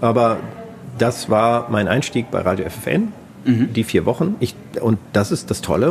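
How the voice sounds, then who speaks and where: Noticeable background noise fills the recording. Over it, a man speaks. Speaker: radio editor-in-chief. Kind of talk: interview. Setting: hotel lounge.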